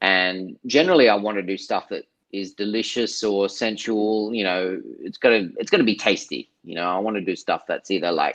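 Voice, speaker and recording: In an Australian accent, a man speaks in a fairly low voice. His pace is moderate and his pitch varies in an ordinary way. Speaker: artist and filmmaker. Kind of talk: interview.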